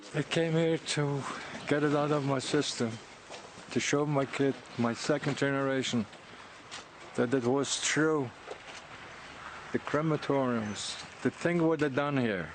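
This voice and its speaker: A man talks at a fairly slow pace with long, frequent pauses, his fairly high pitch held to a fairly even intonation and very even loudness. Noticeable background noise runs underneath. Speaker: Holocaust survivor. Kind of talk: interview soundbite.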